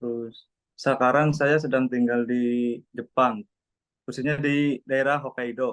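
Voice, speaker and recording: Recorded dry and close with no echo, a man speaks very slowly at a medium pitch in a monotone, flat intonation. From Central Java, Indonesia (Cilacap). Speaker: overseas work trainee. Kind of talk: interview self-introduction.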